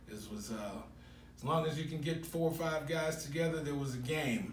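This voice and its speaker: A man with an American accent speaks at a moderate pace with ordinary pitch variation. Audible room echo and noticeable background noise fill the recording. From Chicago, US Midwest. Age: 60s. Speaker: sports radio host. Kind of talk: interview. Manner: halting, many fillers.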